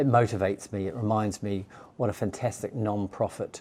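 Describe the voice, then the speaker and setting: A man with a New Zealand accent talks at a moderate pace in a fairly low pitch, with a dark, mellow tone. His intonation is monotone and flat. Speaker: charity chief executive. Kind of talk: interview. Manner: hesitant, with false starts.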